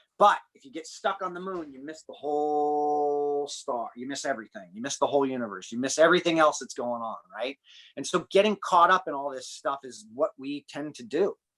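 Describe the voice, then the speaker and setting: Speaking in a normal speaking voice with an American accent, a man talks at a fairly quick pace in a fairly high voice, with ordinary pitch variation and big swings in loudness, in a dry, close recording with no echo and a very clean, silent background. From United States. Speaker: human performance and breathing coach. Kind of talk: podcast interview conversation.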